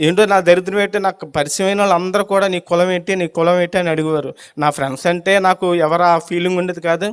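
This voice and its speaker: The speaker is a man. His voice sits high. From India, Kakinada area (Andhra Pradesh). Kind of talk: testimony.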